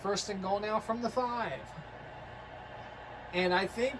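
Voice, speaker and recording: A woman speaks at a medium pitch against noticeable background noise. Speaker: video game commentator. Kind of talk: live commentary.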